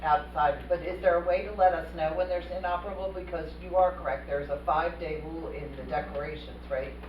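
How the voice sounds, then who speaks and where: A man talking at a very fast pace with hardly any pauses, over noticeable background noise. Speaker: board member at condo association meeting. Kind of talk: board meeting discussion. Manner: loud. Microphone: no microphone.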